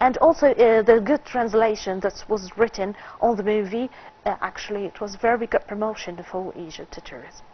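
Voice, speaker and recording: A woman speaks at a moderate pace in a fairly high pitch. Her loudness swings widely. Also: ordinary pitch variation. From Egypt. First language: Arabic. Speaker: film critic; talk show guest. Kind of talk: TV interview. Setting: studio. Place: studio. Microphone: lapel.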